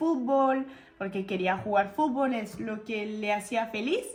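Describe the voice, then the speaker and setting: Speaking with a French accent, a woman uses a fairly high pitch at a fairly slow pace. Her pitch varies in an ordinary way. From France. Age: 20s. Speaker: YouTuber and aspiring actress. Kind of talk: casual talk to camera.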